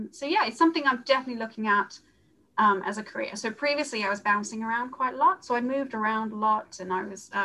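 A woman talks at a very fast pace with a fairly high pitch and ordinary pitch variation. Noticeable background noise is present. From South Africa, Johannesburg. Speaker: procurement manager. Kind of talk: interview.

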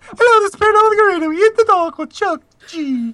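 A put-on character voice races along at a very fast pace with an extremely high pitch. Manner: adorable, mimicking.

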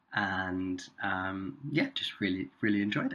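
A man with a British accent speaks at a low pitch. His tone is bright and sharp, with a slightly husky edge.

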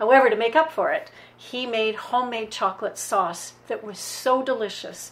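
A woman speaks at a moderate pace in a fairly high voice with ordinary pitch variation and big swings in loudness. Noticeable background noise is present. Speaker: former resort guest. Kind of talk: reminiscence. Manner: enthusiastic.

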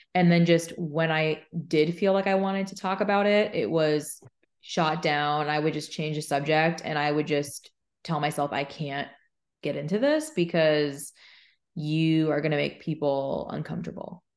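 With an American accent, the speaker talks at a moderate pace with fairly even intonation against a quiet background. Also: woman, very deep, low pitch for a woman. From Arizona. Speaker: mental health podcaster and speaker. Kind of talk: interview. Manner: casual, filler-heavy.

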